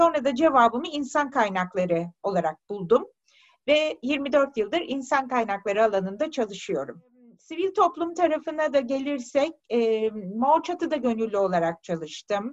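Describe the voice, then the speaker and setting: Her voice sits high in pitch. It rises and falls across a very wide range. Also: moderate pace. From Turkey, Tekirdağ. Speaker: human resources director. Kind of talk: interview.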